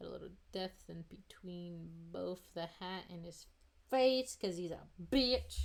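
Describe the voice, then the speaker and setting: At a fairly slow pace, a woman speaks with big swings in loudness. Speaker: streamer drawing live. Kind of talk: casual live-stream chat while drawing. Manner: loud, yelling at times.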